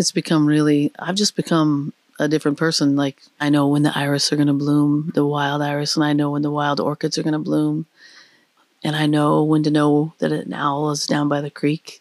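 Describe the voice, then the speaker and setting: A woman speaks in a very deep, low voice with an American accent, monotone and flat, at a moderate pace. The sound is dry and close with no echo. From US, small town. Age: 50s. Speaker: restaurant and bar owner. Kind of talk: casual interview conversation. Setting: at home in rural cabin. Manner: halting, many fillers.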